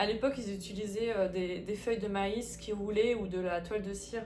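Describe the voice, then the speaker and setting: A woman speaks at a moderate pace in a medium pitch with fairly even intonation, and noticeable background noise is present. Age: 30s. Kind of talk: casual talk to camera.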